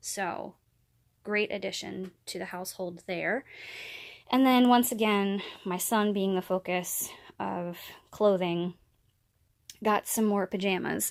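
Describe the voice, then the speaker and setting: With an American accent, a woman speaks at a medium pitch and a very slow pace, with fairly even intonation and long, frequent pauses. The recording is very clean, with a silent background. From central Pennsylvania. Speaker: vlogger. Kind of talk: product haul video. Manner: casual, chatty.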